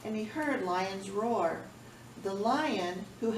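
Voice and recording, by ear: Someone is reading aloud in a natural voice, and the pitch shifts by an ordinary amount.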